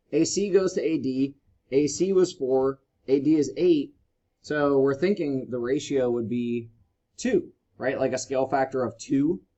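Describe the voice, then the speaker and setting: Talking at a fairly slow pace, a man uses an ordinary speaking voice with a fairly high pitch and ordinary pitch variation. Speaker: high school math teacher. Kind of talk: lecture.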